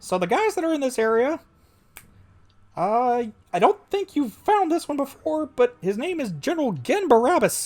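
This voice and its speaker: A put-on character voice from a male speaker, extremely high in pitch, at a moderate pace. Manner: strained.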